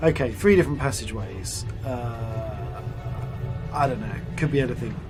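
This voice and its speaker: A man talks with lively intonation as music plays in the background. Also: medium pitch for a man, moderate pace. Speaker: voice actor, audiobook producer. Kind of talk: casual gameplay commentary.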